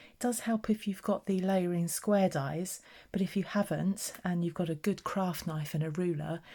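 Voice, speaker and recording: A soft-spoken, somewhat breathy woman's voice in a British accent, dark and mellow in tone, with fairly even intonation, a moderate pace and a very clean recording over a silent background. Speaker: craft tutorial maker. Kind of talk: tutorial. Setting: at home.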